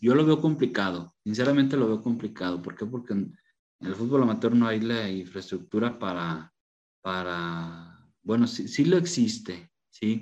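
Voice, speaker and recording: At a moderate pace, a man with a normal speaking voice talks at medium pitch with lively intonation. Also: quiet background. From Mexico, León, Guanajuato. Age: 30s. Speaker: football referee and tortilla shop owner. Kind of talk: interview.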